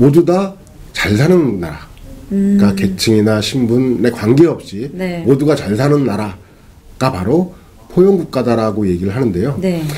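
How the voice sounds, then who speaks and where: At a moderate pace, a man talks at medium pitch with very wide pitch swings. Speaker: economist interviewed guest. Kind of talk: interview answer.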